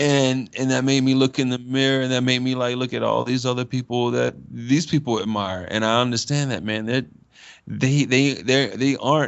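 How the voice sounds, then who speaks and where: Speaking at a moderate pace and medium pitch, a man with an unremarkable speaking voice keeps his intonation fairly even. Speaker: spoken word artist. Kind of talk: interview answer. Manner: casual, rambling.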